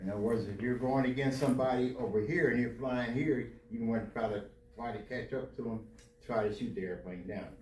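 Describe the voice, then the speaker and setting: A man speaks at a fairly quick pace with ordinary pitch variation, with audible room echo and noticeable background noise around him. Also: medium pitch for a man. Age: 80s+. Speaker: Air Force veteran and pastor. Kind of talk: Q&A talk to students.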